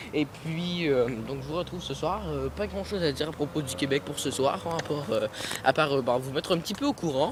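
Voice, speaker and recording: Speech comes at a fairly quick pace with ordinary pitch variation over noticeable background noise. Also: man, fairly high pitch for a man. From Quebec. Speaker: vlogger. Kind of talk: casual vlog. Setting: outdoors at night, walking on a road. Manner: hesitant.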